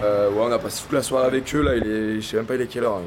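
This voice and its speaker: Fairly even intonation from a man with a medium-pitched voice. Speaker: vlogger and clothing reseller. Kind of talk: travel vlog, casual chat. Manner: casual, hesitant with fillers.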